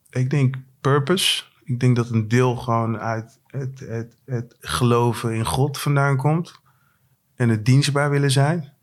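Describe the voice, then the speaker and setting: Recorded very cleanly against a silent background, a man speaks very slowly at medium pitch with fairly even intonation. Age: 40s. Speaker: rapper. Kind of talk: casual chat. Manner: halting.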